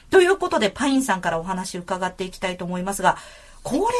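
A woman talks with a plain, everyday voice at a medium pitch. Her intonation is lively. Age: 40s. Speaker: podcast host. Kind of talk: casual chat. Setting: studio.

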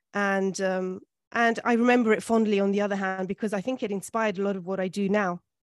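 At a very fast pace, a woman talks in a monotone, flat intonation at a medium pitch. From London, England. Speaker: food and Gothic literature academic, podcast co-host. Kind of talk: interview.

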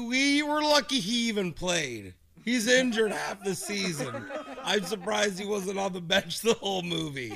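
With noticeable background noise behind him, a man speaks at a moderate pace in a high pitch, his intonation lively. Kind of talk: radio DJ banter, casual morning-show chatter with co-hosts. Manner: chatty, animated, laughing, talks over others.

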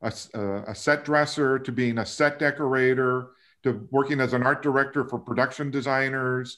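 The voice moves at a fairly slow pace. The recording is very clean, with a silent background. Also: man. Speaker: production designer. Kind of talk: casual interview chat. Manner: relaxed, hesitant with filler words.

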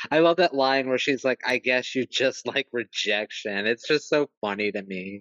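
A man's normal speaking voice at medium pitch, moderate in pace, with ordinary pitch variation and hardly any pauses. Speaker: podcast co-host. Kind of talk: casual chat.

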